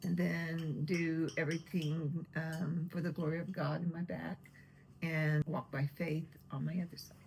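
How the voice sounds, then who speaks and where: A woman speaks fairly slowly in a fairly low voice with vocal fry. Her intonation is monotone and flat. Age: 60s. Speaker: long-distance hiker. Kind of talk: interview testimony.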